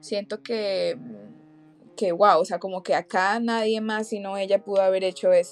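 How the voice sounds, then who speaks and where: Delivered fairly slowly, the speech stays monotone and flat in its intonation. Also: woman, medium pitch for a woman. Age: 20s. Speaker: podcast co-host. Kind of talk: casual chat.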